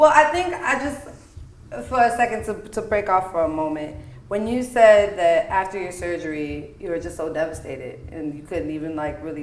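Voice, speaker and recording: This woman talks in an American accent at a fairly low pitch, animated, with very wide pitch swings and big swings in loudness. Noticeable background noise and audible room echo fill the recording. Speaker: podcast host and singer. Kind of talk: casual chat.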